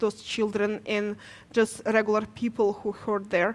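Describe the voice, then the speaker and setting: A woman with a Ukrainian accent speaks at a fairly high pitch. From Ukraine. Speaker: nurse. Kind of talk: testimony. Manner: halting.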